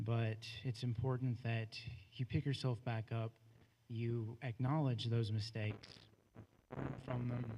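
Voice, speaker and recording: Speaking fairly slowly with an American accent, a man has a dark, mellow tone that is somewhat breathy, his loudness very even. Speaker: former school janitor. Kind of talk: public comment at board meeting. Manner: halting, many fillers.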